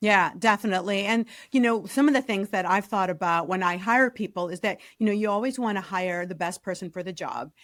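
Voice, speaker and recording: At a fairly quick pace and with hardly any pauses, a woman of medium pitch speaks in a Chicago accent on a very clean recording with a silent background. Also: ordinary pitch variation. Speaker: career strategist, podcast host. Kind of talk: interview podcast.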